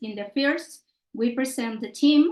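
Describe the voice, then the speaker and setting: A woman with a Mexican accent, fairly slow pace and ordinary pitch variation. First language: Spanish. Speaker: social anthropologist, conservation NGO president. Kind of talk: presentation.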